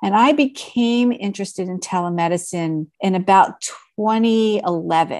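With an American accent, a woman talks at a fairly slow pace in a medium pitch, ordinary pitch variation and an unremarkable speaking voice. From Philadelphia, US. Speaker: physician and telehealth founder. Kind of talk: interview.

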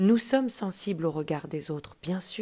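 The clip is of reading aloud in a natural voice.

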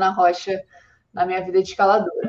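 Her pitch is medium. This woman talks at a fairly quick pace. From Brazil, Rio de Janeiro. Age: 30s. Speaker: climbing athlete. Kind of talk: podcast interview.

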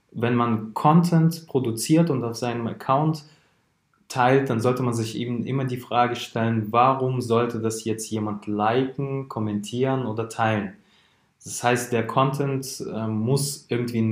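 An ordinary speaking voice from a man, medium in pitch, with fairly even intonation at a fairly slow pace. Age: 20s. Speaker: founder of a social media marketing agency. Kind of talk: podcast interview.

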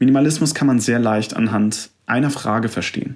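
At a moderate pace, a man speaks in a plain, everyday voice at medium pitch with fairly even intonation. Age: 20s. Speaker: podcast host, fitness studio manager. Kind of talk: solo podcast monologue, self-help talk. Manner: calm, direct address to listener.

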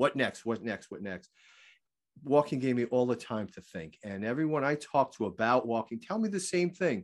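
Against a quiet background, a man of medium pitch speaks at a moderate pace with very wide pitch swings and big swings in loudness. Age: 50s. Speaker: walking fitness author and teacher. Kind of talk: casual interview chat.

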